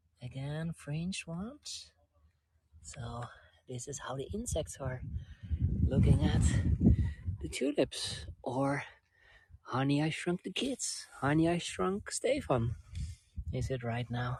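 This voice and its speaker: The speaker has a Dutch accent and talks at a very slow pace. Long, frequent pauses break up the speech. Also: man. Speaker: travel vlogger. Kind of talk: live-stream tour guiding. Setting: outdoors. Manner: animated.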